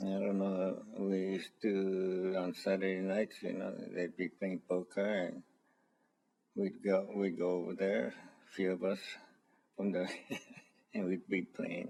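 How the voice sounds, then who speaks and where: A man speaks with a very deep, low pitch and a dark, mellow tone in a monotone, flat intonation. His pace is fairly slow, broken by long, frequent pauses. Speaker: temple elder. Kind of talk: oral history interview.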